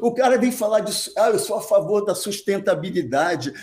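The man speaks with lively intonation. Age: 60s. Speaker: men's fashion content creator. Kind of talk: casual interview chat. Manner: animated.

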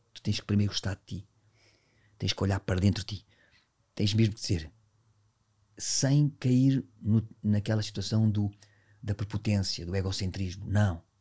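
A man with a fairly low, somewhat breathy voice talks at a moderate pace with big swings in loudness. He leaves long, frequent pauses, and the recording is very clean with a silent background. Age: 50s. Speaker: dance teacher and dancer. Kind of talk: casual interview chat. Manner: animated, intense.

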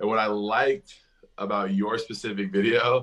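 A man talks in a monotone, flat intonation. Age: 20s. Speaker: reality TV contestant. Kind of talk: casual chat. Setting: video call.

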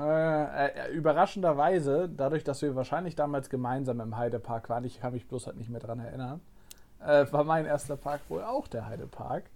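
Using a normal speaking voice, a man talks at a fairly high pitch with ordinary pitch variation. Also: moderate pace. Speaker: theme park podcaster and vlogger. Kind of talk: casual chat.

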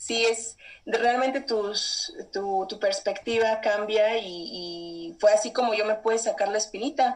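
Very slow yet with hardly any pauses, a woman with a Mexican accent talks at a fairly high pitch with ordinary pitch variation. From Mexico. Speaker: traveler. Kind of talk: interview.

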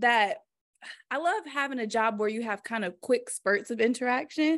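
Against a quiet background, a high-pitched woman with an American accent speaks at a fairly slow pace with lively intonation. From US South, Greensboro, North Carolina. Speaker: esthetician and spa owner. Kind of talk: casual chat.

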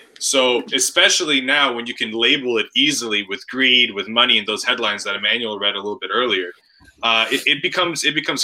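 Through noticeable background noise, a man speaks at a very fast pace at medium pitch with ordinary pitch variation. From Toronto, Canada. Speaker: recurring podcast guest. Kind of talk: casual chat.

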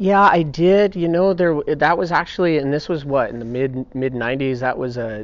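A fairly high-pitched man's voice with lively intonation at a moderate pace. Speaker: Navy SEAL. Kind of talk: casual interview conversation. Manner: mellow, relaxed.

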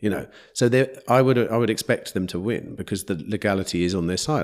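A man with an English accent speaks with vocal fry and very wide pitch swings. The recording is very clean, with a silent background. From England. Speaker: podcast host. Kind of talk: interview conversation. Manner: hesitant, repeats words.

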